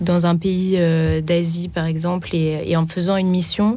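Speaking at a fairly slow pace, a woman uses a medium-pitched voice with a dark, mellow tone. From Reims, France. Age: 20s. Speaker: student volunteer. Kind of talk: radio interview. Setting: studio.

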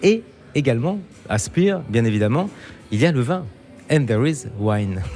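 His pitch sweeping very widely, a man speaks with a slight Germanic accent. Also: medium pitch for a man, moderate pace. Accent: slight Germanic-tinged French pronunciation. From eastern France near German border. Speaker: travel radio host. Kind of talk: interview; scripted narration.

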